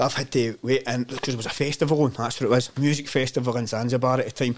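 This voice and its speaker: Very fast speech from a man with a Glaswegian accent at medium pitch, amid noticeable background noise. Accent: Glaswegian Scottish. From Glasgow, Scotland (Govan). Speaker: community development worker. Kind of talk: casual chat. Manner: animated storytelling.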